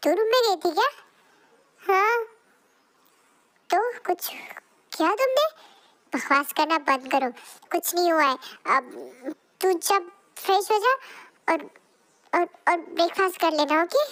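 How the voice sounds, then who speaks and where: In a put-on character voice of extremely high pitch, a woman talks at a moderate pace with lively intonation and long, frequent pauses. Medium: read story. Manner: nervous.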